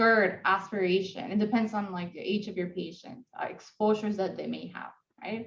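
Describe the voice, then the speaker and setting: At a moderate pace, a somewhat breathy woman speaks at a medium pitch with fairly even intonation and big swings in loudness. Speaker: physician educator leading case conference. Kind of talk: interactive teaching conference. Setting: video call. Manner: soft-spoken. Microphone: echo, connection coming in and out.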